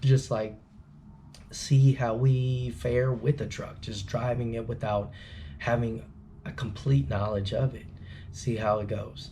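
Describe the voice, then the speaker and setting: A man whispers at a fairly slow pace, somewhat breathy, with audible room echo. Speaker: trucking student vlogger. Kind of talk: casual vlog talk. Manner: whispering.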